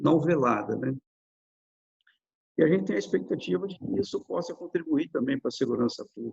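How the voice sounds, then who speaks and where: A man with vocal fry speaks at a moderate pace. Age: 60s. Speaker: lawyer and author, retired police officer. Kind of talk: interview. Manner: halting, with frequent fillers and repetitions.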